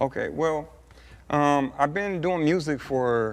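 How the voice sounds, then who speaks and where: With an American accent, a plain, everyday voice moves at a fairly slow pace with ordinary pitch variation. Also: man. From Southern California, Montclair. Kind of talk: TV interview. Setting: TV studio couch. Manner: casual, many fillers.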